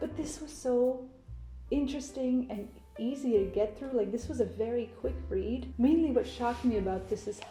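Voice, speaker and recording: A woman with a non-native accent speaks at a moderate pace. Music plays in the background. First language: not English. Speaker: book vlogger. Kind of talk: casual chat. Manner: animated.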